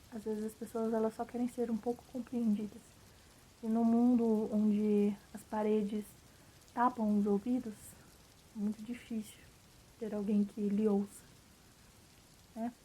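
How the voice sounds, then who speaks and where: The voice is monotone with flat intonation and moves at a fairly slow pace. Long pauses come often. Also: woman, fairly high pitch for a woman. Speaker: vlogger. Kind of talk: casual monologue vlog. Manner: casual, filler-heavy.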